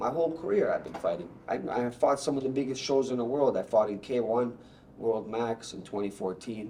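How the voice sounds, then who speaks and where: Fairly quick speech from a man at medium pitch, with audible room echo and noticeable background noise. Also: ordinary pitch variation. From Bosnia, raised in Canada. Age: 30s. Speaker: Muay Thai fighter. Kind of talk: casual interview. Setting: gym studio. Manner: animated.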